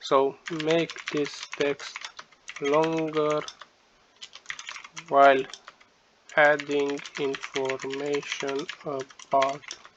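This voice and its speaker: A man with a non-native accent and fairly high pitch talks at a very slow pace in a monotone, flat intonation, with long, frequent pauses amid noticeable background noise. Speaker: tech tutorial YouTuber. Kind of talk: casual screen-share tutorial talk.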